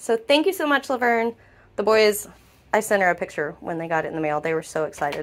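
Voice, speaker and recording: A woman's lively intonation at a fairly quick pace. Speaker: family vlogger. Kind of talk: casual vlog chat. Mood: grateful, cheerful. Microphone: phone near.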